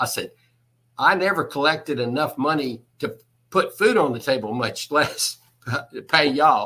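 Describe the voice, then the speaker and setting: A Texan accent at a moderate pace, broken by long, frequent pauses. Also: man. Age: 70s. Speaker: construction executive and electrician. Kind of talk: interview answer.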